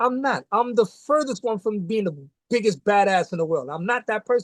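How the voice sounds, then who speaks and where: A man talks at a fairly quick pace in a New York accent. His pitch is high, and the sound is dry and close with no echo. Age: 60s. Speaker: martial arts grandmaster. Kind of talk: casual interview chat. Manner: animated.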